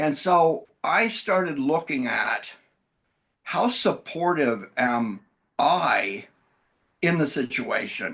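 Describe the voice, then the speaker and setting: Here a man talks at a fairly high pitch, with very wide pitch swings and vocal fry. His pace is very slow, with long, frequent pauses and very even loudness. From US Midwest (Wisconsin). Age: 60s. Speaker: bereaved father of a child with a rare syndrome. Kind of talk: podcast interview. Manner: conversational.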